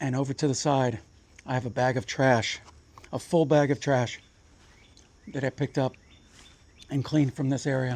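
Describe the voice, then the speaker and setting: A man of medium pitch speaks at a moderate pace with fairly even intonation and long, frequent pauses. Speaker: outdoor vlogger. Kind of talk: vlog narration. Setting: outdoors. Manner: quiet.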